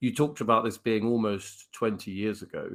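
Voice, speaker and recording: A man with a British accent at a fairly low pitch, ordinary pitch variation and a fairly quick pace, on a very clean recording with a silent background. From United Kingdom. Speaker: podcast host. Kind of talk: interview.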